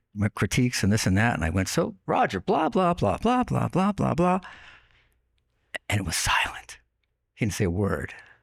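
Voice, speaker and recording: The recording is dry and close with no echo. A man speaks at a moderate pace with very wide pitch swings. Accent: slight Long Island. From US Northeast, Long Island, New York. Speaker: online radio host, podcast guest. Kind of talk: casual interview, storytelling. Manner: conversational with fillers.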